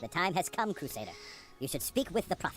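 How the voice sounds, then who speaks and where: A put-on character voice at a middle pitch with very wide pitch swings, delivered at a very fast pace over clear background noise. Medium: video game. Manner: repetitive, insistent.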